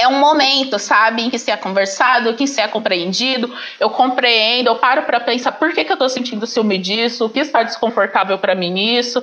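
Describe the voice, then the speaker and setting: A woman's fairly high, fairly quick voice with ordinary pitch variation over noticeable background noise. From Brazil, Paraná. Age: 20s. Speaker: teacher and master's student. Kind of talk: casual chat.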